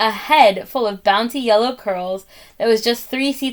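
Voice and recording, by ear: Pitch moves in an ordinary range. The text is read aloud in a natural voice.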